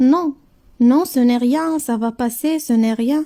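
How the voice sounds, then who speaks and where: A woman's high-pitched put-on character voice at a fairly slow pace. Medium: read story.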